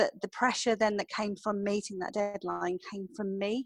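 A woman with an English accent, fairly quick and flat, monotone in intonation, in a dry, close recording with no echo. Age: 40s. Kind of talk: interview monologue.

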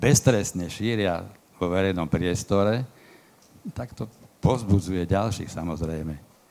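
A man with a very deep, low pitch delivers his words at a moderate pace. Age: 60s. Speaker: activist exposing extremists. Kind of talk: panel discussion.

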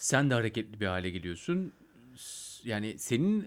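A man of medium pitch speaks at a moderate pace with very wide pitch swings in a very clean recording with a silent background. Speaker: podcast host. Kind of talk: casual interview.

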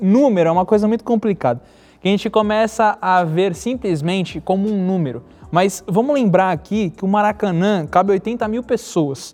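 High pitch for a man, with ordinary pitch variation and a moderate pace. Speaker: podcast host. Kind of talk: casual interview. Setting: studio.

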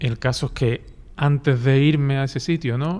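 A man with an ordinary speaking voice and ordinary pitch variation talks at a fairly slow pace against a quiet background. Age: 50s. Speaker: teacher. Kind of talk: testimony.

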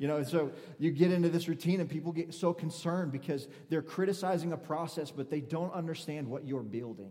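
Fairly high for a man, this voice has a dark, mellow tone and ordinary pitch variation, moving at a fairly quick pace with audible room echo. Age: 30s. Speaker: preacher. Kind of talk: sermon. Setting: church.

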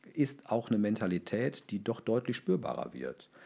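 Dark and mellow in tone, a man's voice sits at a medium pitch. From Ruhr area, Germany. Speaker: local government official for fire and rescue services. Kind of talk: interview.

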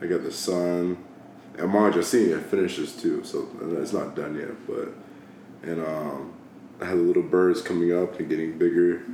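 In an American accent, a man talks at a moderate pace, with audible room echo and noticeable background noise. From Georgia, US (Dallas, near Atlanta). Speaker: military service member. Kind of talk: casual chat.

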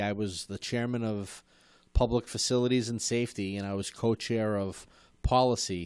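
A man talks at a moderate pace with an unremarkable speaking voice at medium pitch. The recording is very clean, with a silent background. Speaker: show host, former school committee member. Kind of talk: casual interview chat. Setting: studio.

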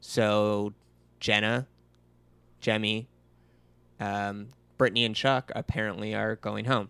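Speech comes at a very slow pace with long, frequent pauses and a flat, monotone delivery, in a bright, sharp tone captured dry and close with no echo on a very clean recording against a silent background. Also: man, fairly low pitch for a man. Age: 30s. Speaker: podcast co-host. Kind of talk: casual chat.

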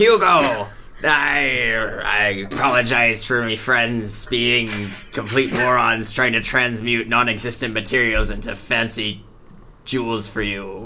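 Over clear background noise, a man in a put-on character voice speaks fairly slowly at a medium pitch. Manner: pirate voice.

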